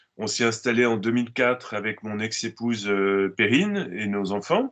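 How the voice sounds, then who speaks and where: Moderate pace, medium pitch and fairly even intonation from a man. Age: 60s. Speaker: organic farmer. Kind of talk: interview. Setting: video call. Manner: halting, frequent hesitations.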